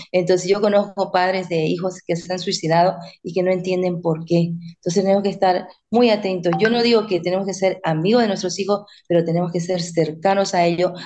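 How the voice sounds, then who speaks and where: A woman of medium pitch talks at a fairly quick pace in a dark, mellow tone with monotone, flat intonation. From Bolivia. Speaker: author and parenting coach. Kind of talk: interview.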